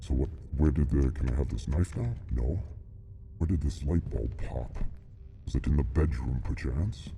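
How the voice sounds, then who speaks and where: A man with a very deep, low pitch puts on a character voice, moving at a moderate pace with long, frequent pauses. Clear background noise runs behind him. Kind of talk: mock-solemn reaper persona. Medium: solo performance. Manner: formal, archaic phrasing mixed with casual asides.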